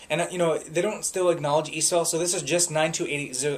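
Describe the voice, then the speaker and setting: The man's pitch is fairly high. Background noise is noticeable. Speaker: real estate agent. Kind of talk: market update talk. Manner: fast.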